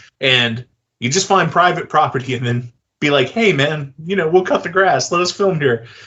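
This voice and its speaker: A man speaks in a Southern accent. His pace is moderate, with ordinary pitch variation. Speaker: film director and interview host. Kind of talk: casual interview chat. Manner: hesitant, filler-heavy.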